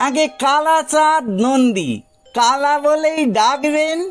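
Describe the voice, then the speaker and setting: A man's put-on character voice, very slow, with faint music in the background. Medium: read story. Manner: humble, deferential, ingratiating.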